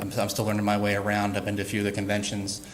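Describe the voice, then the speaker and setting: Audible room echo surrounds a man talking at a very fast pace with fairly low pitch. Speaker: utility IT specialist presenting at workshop. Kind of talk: presentation to workshop audience. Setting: workshop room with audience. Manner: many fillers, uh and repeats.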